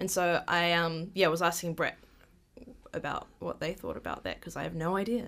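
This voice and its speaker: A woman's New Zealand accent with vocal fry, fairly even intonation and a moderate pace. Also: fairly low pitch for a woman, very clean recording, silent background. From New Zealand (Māori, urban upbringing). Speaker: rainbow community advocate. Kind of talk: casual chat.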